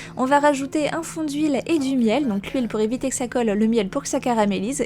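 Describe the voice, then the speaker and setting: Over music in the background, a woman speaks at a fairly quick pace with a fairly high pitch and lively intonation. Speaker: food vlogger. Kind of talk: cooking voiceover. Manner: fast; hesitant with many fillers.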